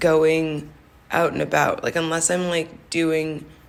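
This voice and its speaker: A woman's very deep, low pitch at a fairly slow pace, with audible room echo. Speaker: skincare podcast host. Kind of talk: casual solo monologue. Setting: office conference room. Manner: hesitant, many fillers.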